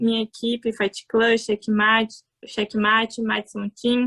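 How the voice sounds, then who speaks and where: A woman with a Portuguese accent talks at a moderate pace in a fairly high, monotone voice with flat intonation. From Brazil. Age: 20s. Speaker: MMA fighter. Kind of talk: interview. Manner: halting.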